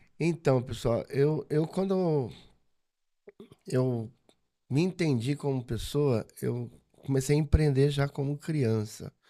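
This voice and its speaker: Through a very clean recording with a silent background, a man speaks at a very slow pace with long, frequent pauses, his fairly high voice dark and mellow in tone with ordinary pitch variation. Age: 50s. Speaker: business owner and religious leader. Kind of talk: casual interview chat.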